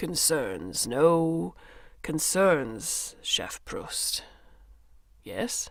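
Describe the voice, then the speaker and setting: A put-on character voice at a middle pitch moves at a very slow pace with long, frequent pauses. The recording is very clean, with a silent background. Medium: read story. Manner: clipped broken phrases with "yes" tags.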